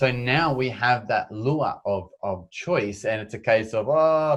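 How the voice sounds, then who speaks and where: Against a quiet background, a man with an Australian accent speaks with lively intonation. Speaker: endurance adventurer and public speaker. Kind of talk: interview.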